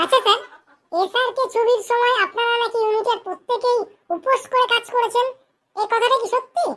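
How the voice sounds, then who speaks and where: A squeaky, cartoonish character voice at an extremely high pitch. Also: moderate pace. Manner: deferential, eager.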